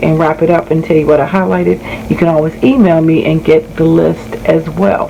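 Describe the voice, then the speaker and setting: Noticeable background noise behind a woman's voice pitched fairly low. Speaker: bible study content creator. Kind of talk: tutorial. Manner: casual, with fillers.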